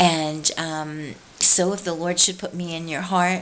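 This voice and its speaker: A woman speaks very slowly in a fairly low, flat monotone. There is noticeable noise in the background. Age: 50s. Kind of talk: devotional talk to camera. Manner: relaxed.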